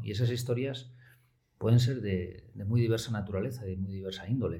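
Somewhat breathy and dark, mellow in tone, a man speaks with ordinary pitch variation. Audible room echo surrounds him. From Oviedo, Asturias, Spain. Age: 40s. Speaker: media executive. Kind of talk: interview.

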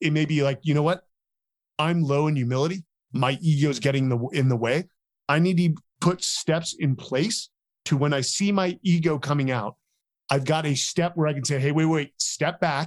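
An ordinary speaking voice from a man, fairly high in pitch, at a moderate pace and very even loudness. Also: ordinary pitch variation. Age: 40s. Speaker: military veteran and author. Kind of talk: interview.

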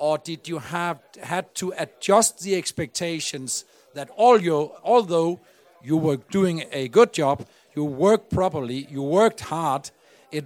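A man with a Danish accent speaks at a fairly slow pace in a fairly high voice. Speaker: podcast host. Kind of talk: on-stage interview. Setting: stage with audience.

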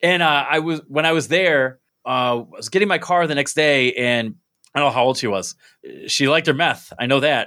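A man's unremarkable speaking voice, fairly high in pitch, with ordinary pitch variation, a moderate pace and an American accent. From upstate New York (Binghamton). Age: 30s. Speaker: podcast host and stand-up comedian. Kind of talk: casual chat. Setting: video call.

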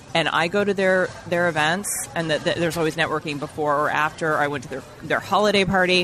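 Talking at a very fast pace with hardly any pauses, a woman with a fairly low pitch keeps a fairly even intonation over noticeable background noise. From Vermont, New England. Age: 50s. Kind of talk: casual chat. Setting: restaurant lunch.

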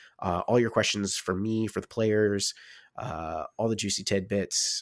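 A plain, everyday voice from a man, fairly low in pitch, with ordinary pitch variation and a fairly slow pace, on a very clean recording with a silent background and a dry, close sound with no echo. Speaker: dungeon master and co-host. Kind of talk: casual podcast update.

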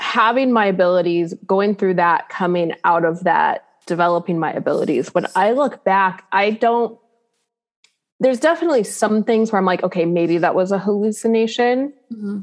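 This is a normal speaking voice at a moderate pace. The pitch varies in an ordinary way. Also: woman. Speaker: spiritual medium and teacher. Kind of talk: casual interview chat.

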